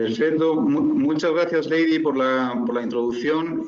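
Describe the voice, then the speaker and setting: A man with a fairly high pitch, lively intonation and a moderate pace. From Spain. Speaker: corporate finance consultant, presenter. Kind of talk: webinar presentation. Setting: online webinar.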